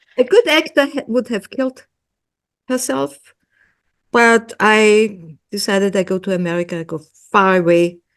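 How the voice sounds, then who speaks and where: A woman with an Austrian accent speaks at a moderate pace and a medium pitch, leaving long, frequent pauses. Her intonation is lively. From Austria, Vienna. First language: German. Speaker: hypnotherapist. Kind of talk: interview. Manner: halting, many fillers and repeats.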